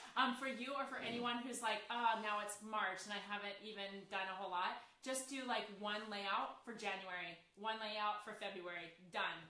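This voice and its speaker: A woman's fairly high voice at a moderate pace with fairly even intonation, audible room echo and noticeable background noise. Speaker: scrapbooking company owner hosting a live Q&A. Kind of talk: casual live-stream chat. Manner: loud, projecting.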